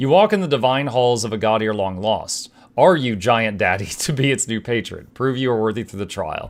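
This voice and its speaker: A man puts on a booming character voice at a medium pitch and a moderate pace. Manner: grand, commanding.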